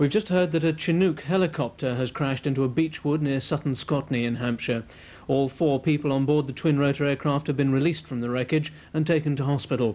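A man with a British accent, fairly high pitch and fairly even intonation, going at a very fast pace. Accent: British received pronunciation. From England. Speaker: TV news announcer. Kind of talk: scripted regional TV news bulletin read to camera. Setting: TV studio. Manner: formal, crisp, measured and brisk. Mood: formal, serious. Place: studio.

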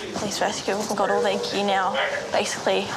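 Against loud background noise, a woman talks at a very fast pace. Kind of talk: documentary interview aside. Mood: nervous, apprehensive. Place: hall.

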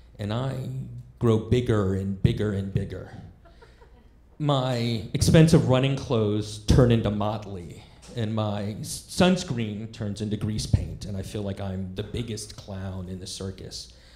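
In a room with audible echo, a man with a fairly low pitch speaks fairly slowly, using ordinary pitch variation and big swings in loudness. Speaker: stand-up comedian. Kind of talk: stand-up storytelling. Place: stage. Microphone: handheld.

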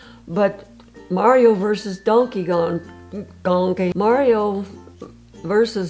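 Over faint background music, a woman talks at a very slow pace with ordinary pitch variation. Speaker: gamer grandma web series host. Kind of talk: casual talk to camera. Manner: stuttering, hesitant. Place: home room.

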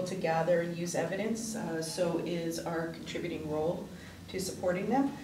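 A woman talks at a moderate speed against noticeable background noise. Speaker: councillor giving committee report. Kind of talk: meeting report. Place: meeting room. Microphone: podium.

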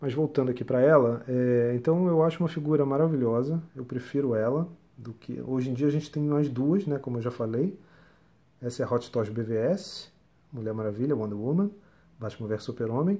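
A man with a dark, mellow tone, ordinary pitch variation and a moderate pace. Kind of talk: casual unboxing/review chat. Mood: enthusiastic, relaxed. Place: home room. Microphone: phone near.

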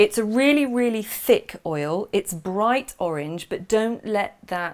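A woman speaks slowly at a medium pitch, her intonation lively.

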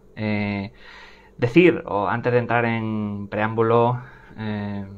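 A man speaks in an unremarkable speaking voice with fairly low pitch. His intonation stays fairly even. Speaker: host of film channel. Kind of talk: live stream commentary. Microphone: earbuds.

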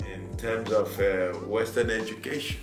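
A moderate pace over clear music in the background. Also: man. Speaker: interviewee. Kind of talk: interview answer. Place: office. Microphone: camera far.

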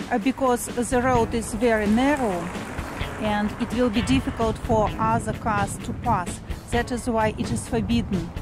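A woman speaks at a fairly slow pace over clear music in the background. The sound is dry, with no echo. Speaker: vlogger, tour guide. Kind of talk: casual vlog chat. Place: street. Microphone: phone near.

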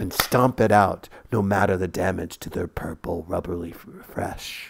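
A man's very deep, low, somewhat breathy voice moves at a fairly slow pace. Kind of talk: scripted narration of flash fiction. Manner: dramatic, storyteller delivery with tense pacing.

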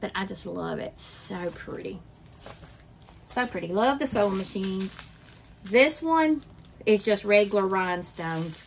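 Woman at a medium pitch in a Southern US accent, fairly slow with long, frequent pauses, lively intonation and big swings in loudness. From Mississippi. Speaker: craft vlogger. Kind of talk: casual chat.

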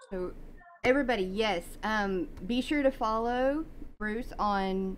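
Speaking with an American accent, a woman uses a fairly high pitch. She goes at a very slow pace. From US South. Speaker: podcast host. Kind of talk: casual interview.

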